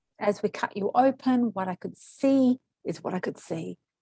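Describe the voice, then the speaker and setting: In an Australian accent, a woman speaks at a high pitch with lively intonation and a dark, mellow tone, the sound dry and close with no echo. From Australia, arrived from Kuwait at age five. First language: Arabic or Greek. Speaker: medical intuitive, former nurse. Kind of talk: interview.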